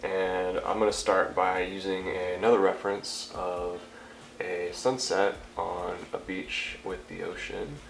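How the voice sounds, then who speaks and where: Noticeable background noise fills the recording. Through it, a man talks at a very slow pace. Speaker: painter giving a painting tutorial. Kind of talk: casual tutorial talk to camera.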